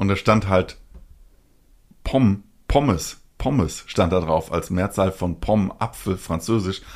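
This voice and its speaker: On a very clean recording with a silent background, a man speaks at a fairly low pitch and a very slow pace. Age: 40s. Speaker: anime podcast co-host. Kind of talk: casual chat.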